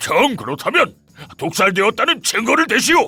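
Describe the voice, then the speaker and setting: A raspy man talks at a moderate pace while faint music plays in the background. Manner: demanding.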